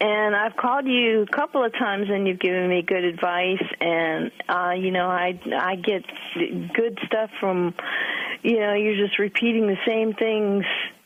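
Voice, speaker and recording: Against noticeable background noise, a woman speaks at a fairly slow pace and a medium pitch, her loudness very even. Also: fairly even intonation. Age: 60s. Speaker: caller. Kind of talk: radio call-in question. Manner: hesitant, many fillers.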